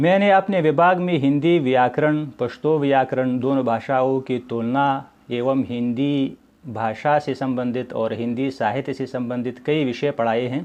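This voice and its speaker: A man with a Pashto accent talks at medium pitch with hardly any pauses against a quiet background. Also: ordinary pitch variation. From Afghanistan. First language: Pashto (speaking Hindi). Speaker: Hindi lecturer and doctoral researcher. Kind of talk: educational talk. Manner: formal.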